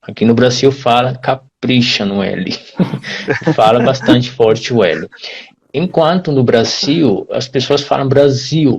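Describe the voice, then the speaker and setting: This speaker goes at a very slow pace with ordinary pitch variation and a somewhat breathy sound. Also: man, medium pitch for a man. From Brazil. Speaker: Portuguese teacher. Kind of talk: live-stream conversation.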